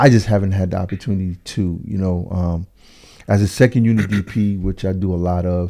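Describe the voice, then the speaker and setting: A man with a very deep, low pitch and a dark, mellow tone speaks at a fairly quick pace with fairly even intonation, on a very clean recording with a silent background. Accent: American. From New York. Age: 50s. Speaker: cinematographer. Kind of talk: interview. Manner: halting.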